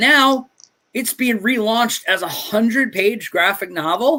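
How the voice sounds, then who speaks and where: Raised, projected voice with an animated delivery and a bright, sharp tone. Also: man. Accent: New York. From New York City (Staten Island). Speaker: comic book creator and stream host. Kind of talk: casual livestream interview.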